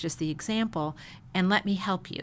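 With an unremarkable speaking voice, this woman speaks at a medium pitch, keeping a moderate pace and ordinary pitch variation. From Chicago. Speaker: pastor's wife. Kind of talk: casual interview.

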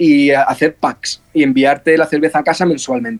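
Speaking in a plain, everyday voice, a man holds a moderate pace with a fairly high pitch. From Spain (Almería) and England. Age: 20s. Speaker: brewer and bar owner. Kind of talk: interview.

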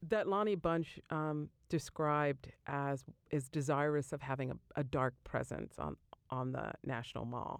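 A woman's very deep, low voice at a fairly slow pace, with ordinary pitch variation, on a very clean recording with a silent background. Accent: American. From US Northeast, Jersey Shore, New Jersey. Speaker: architecture professor. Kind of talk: interview.

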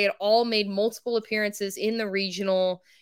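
With an American accent, a woman speaks at a moderate pace. Her tone is bright and sharp. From Texas. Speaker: sports journalist. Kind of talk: casual interview. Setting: video call.

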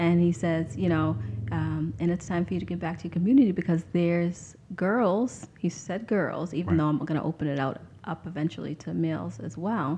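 A woman's unremarkable speaking voice, fairly low in pitch, at a fairly quick pace with lively intonation. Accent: American. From Lynn, Massachusetts. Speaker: nonprofit founder. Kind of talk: interview.

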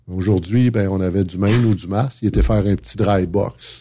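A man with a fairly low, somewhat breathy voice speaks at a moderate pace, his pitch varying in an ordinary way. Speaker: trucking company manager. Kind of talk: casual chat. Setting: studio.

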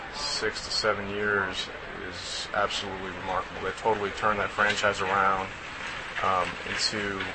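A man speaks in a fairly low pitch at a fairly slow pace. Noticeable background noise runs behind him. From Texas, Austin. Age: 30s. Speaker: professional baseball player. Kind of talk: interview.

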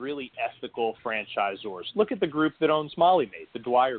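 This man has an unremarkable speaking voice at a fairly high pitch. He talks fairly slowly with lively intonation. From New Jersey (born in Greece, moved at five). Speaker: franchise consultant and author. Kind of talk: interview.

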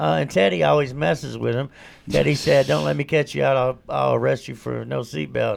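A man's speech comes at a fairly quick pace, with noticeable background noise behind it. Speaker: recovery show co-host. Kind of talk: casual chat. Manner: animated.

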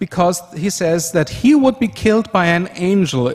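A man speaks at a fairly slow pace in a high pitch. He has an Austrian accent. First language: German. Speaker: conference speaker, software developer. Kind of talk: conference presentation. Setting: stage with audience.

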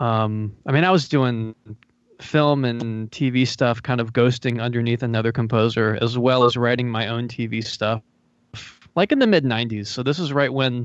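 An ordinary speaking voice from a man with an American accent, medium in pitch, at a moderate pace with fairly even intonation. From North Carolina, US South. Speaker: video game and TV composer. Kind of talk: casual interview chat.

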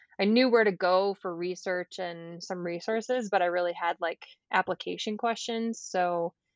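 Speaking at a moderate pace, a woman uses a normal speaking voice with medium pitch and fairly even intonation. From US Midwest, Michigan. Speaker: physical therapist. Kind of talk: casual interview.

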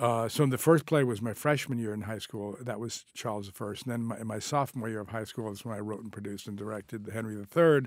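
On a very clean recording with a silent background, a man talks very fast at a medium pitch, with hardly any pauses and ordinary pitch variation. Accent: American. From US Northeast (northern New Jersey). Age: 70s. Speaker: film director and screenwriter. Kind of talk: interview conversation. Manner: halting, many fillers and restarts.

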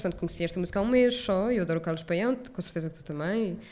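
Audible room echo surrounds a woman's medium-pitched voice. She talks very fast, with ordinary pitch variation. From Portugal, Lisbon area (Odivelas). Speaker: film curator. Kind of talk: live interview. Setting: stage with live audience.

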